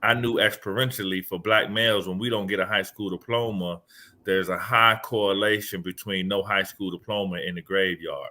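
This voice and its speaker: With a Southern accent, a man talks at a fairly quick pace, his fairly low voice held in a monotone, flat intonation. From Miami, Florida (US South). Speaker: education speaker and author. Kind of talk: podcast interview. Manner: halting, with many repeated words.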